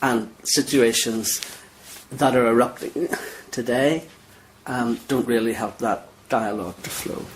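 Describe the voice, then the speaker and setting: In a Northern Irish accent, a man talks at medium pitch with fairly even intonation. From Northern Ireland. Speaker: cleric. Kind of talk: interview. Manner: halting.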